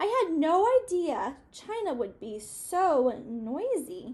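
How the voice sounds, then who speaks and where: A woman's put-on character voice, extremely high and very slow, with very wide pitch swings. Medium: read story.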